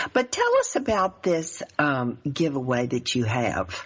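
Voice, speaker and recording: A woman with a Southern US accent and a very deep, low pitch. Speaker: life coach and show host. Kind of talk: radio talk show interview.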